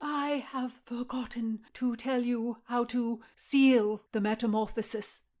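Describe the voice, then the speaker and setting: A female-sounding put-on character voice at a high pitch moves at a fairly slow pace with hardly any pauses. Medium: read story. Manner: deferential, hesitant.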